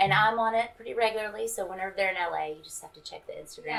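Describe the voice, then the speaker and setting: With a Southern US accent, a woman speaks at a very fast pace, her loudness swinging widely. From Mississippi, US South. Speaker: stand-up comedian. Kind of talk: stand-up routine; casual interview chat.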